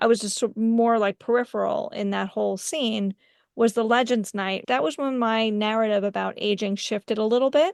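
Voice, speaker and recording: Recorded dry and close with no echo over a quiet background, a woman speaks in a plain, everyday voice, fairly high in pitch, at a moderate pace with ordinary pitch variation. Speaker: licensed clinical social worker and coach. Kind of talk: interview question.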